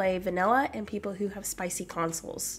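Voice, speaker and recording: A woman talks at a fairly quick pace with fairly even intonation. Noticeable background noise runs underneath. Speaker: gaming YouTuber. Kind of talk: casual gameplay commentary. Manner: friendly, chatty.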